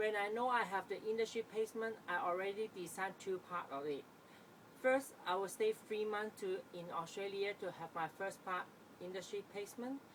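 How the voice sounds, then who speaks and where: A woman with a Chinese accent, medium pitch, ordinary pitch variation and a moderate pace. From Hong Kong. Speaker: student. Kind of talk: class presentation. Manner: halting.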